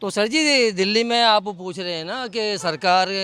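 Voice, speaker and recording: Bright and sharp in tone, a man's voice is raised and projected. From Delhi, India. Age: 60s. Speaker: member of the public. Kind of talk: street interview.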